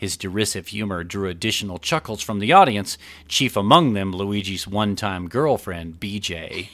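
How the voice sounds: The intonation stays fairly even as a natural reading voice goes on.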